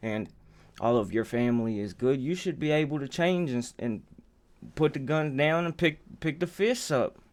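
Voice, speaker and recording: In a very clean recording with a silent background, a man talks at a moderate pace with lively intonation. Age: 40s. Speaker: reaction video host. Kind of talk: reaction commentary. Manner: casual, hesitant.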